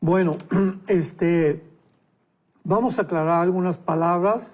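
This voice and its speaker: A man speaks at a very slow pace in a high pitch. His intonation is fairly even. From Mexico. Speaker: pastor and Bible teacher. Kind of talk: Bible teaching in a talk show interview.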